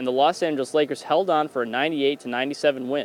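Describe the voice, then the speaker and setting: Very fast talk from a man with a fairly high pitch and ordinary pitch variation over noticeable background noise. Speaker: sports reporter and anchor. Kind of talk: sports news anchor and reporter delivery.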